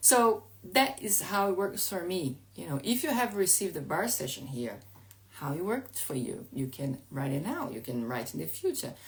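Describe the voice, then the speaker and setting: A woman with a non-native accent speaks at a moderate pace and medium pitch, her pitch swinging very widely over noticeable background noise. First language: Portuguese. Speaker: life coach. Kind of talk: live stream talk. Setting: at home. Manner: halting.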